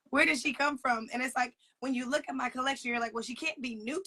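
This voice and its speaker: A woman with an American accent speaks at a fairly quick pace in a raised, projected voice, her high pitch bright and sharp, with ordinary pitch variation and a dry, close sound with no echo. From US South. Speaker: sneaker collector. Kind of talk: interview.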